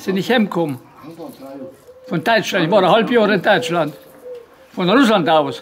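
A man talks at a moderate pace with lively intonation. Light background noise is present. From Banat, Romania (Banat Swabian village). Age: 80s+. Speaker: former forced labourer in Soviet camps. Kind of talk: oral history interview, storytelling. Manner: detailed, gallows humour. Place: garden. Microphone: phone near.

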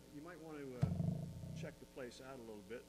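A man's voice against loud background noise. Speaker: pastor. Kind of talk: sermon. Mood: warm, lightly joking. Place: church. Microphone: lapel.

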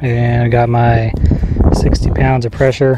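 A man's voice comes through dry and echo-free, with music playing behind him. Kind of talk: tutorial. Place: open country. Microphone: phone near.

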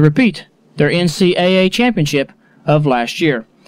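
The speaker is a man. The background is quiet and the sound is dry, with no echo. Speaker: radio sports reporter. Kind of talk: 1980s radio sports report, scores read briskly. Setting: radio studio broadcast. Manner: brisk, businesslike, even-paced; formal, rattling off scores in a steady newsreader cadence. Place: studio.

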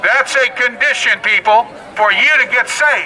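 With light background noise, a man speaks in a raised, projected voice at an extremely high pitch. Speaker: street preacher. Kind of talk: street preaching sermon delivered to passersby. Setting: outdoors on a public street. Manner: forceful, declamatory, admonishing. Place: street.

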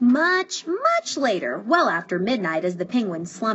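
Reading done in a natural voice

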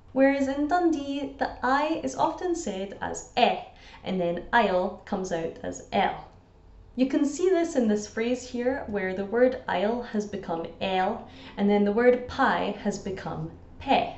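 A woman talks fairly slowly in a Scottish accent, her fairly high voice swinging very widely in pitch. Room echo is audible. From Scotland. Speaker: language teacher. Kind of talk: educational explainer to camera. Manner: upbeat, chatty. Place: home room. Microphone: phone near.

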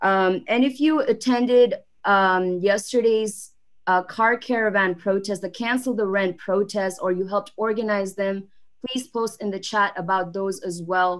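The pace is moderate and the intonation fairly even. The background is quiet. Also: woman. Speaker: class host. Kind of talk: livestream host announcements. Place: home room. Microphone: video call.

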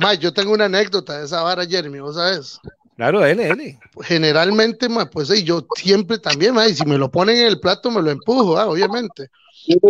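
The speech moves at a fairly quick pace with lively intonation, and the sound is dry with no echo. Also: man, high pitch for a man. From Costa Rica. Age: 30s. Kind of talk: casual chat. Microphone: video call.

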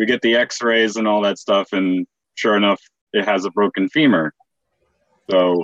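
An ordinary speaking voice at a moderate pace, with ordinary pitch variation and very even loudness. The sound is dry with no echo, over a quiet background. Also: man, fairly low pitch for a man. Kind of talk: casual story telling. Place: home room. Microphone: video call.

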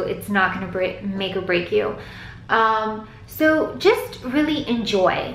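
A woman's fairly slow speech with ordinary pitch variation, light background noise and audible room echo. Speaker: vlogger. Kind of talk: casual vlog chat. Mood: relaxed, advice-giving. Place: home room. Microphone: phone near.

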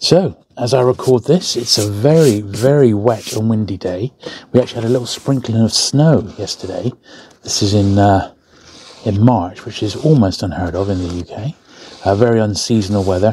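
A man at a moderate pace with ordinary pitch variation, dry sound with no echo and light background noise. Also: fairly low pitch for a man. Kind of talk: casual tutorial chat. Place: studio.

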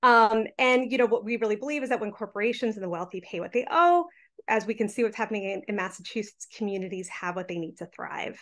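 The speaker talks at a very fast pace with lively intonation. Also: woman, fairly high pitch for a woman, quiet background. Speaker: tax justice advocate; presenter. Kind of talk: panel presentation. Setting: video call. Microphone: webcam.

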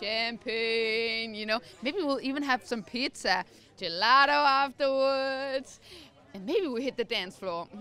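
A bright, sharp tone with ordinary pitch variation comes at a fairly slow pace in a dry sound with no echo. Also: woman, high pitch for a woman. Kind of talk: interview answer. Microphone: handheld.

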